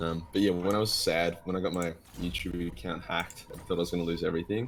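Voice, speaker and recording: With an Australian accent, a man with a very deep, low pitch talks at a very fast pace with fairly even intonation. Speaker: gaming youtuber. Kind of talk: casual chat. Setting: live stream.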